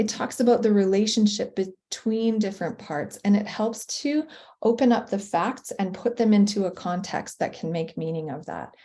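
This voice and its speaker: In a Canadian accent, a woman speaks at a medium pitch and a moderate pace, with ordinary pitch variation. Her tone is dark, mellow and somewhat breathy, against a quiet background. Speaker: professional learning designer for teachers. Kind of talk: webinar presentation.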